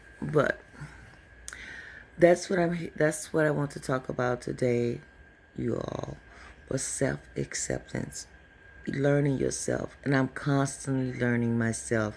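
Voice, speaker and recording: The speaker talks at a very slow pace, with long, frequent pauses. Noticeable background noise sits behind the voice. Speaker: spiritual vlogger / tarot reader. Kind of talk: casual vlog monologue.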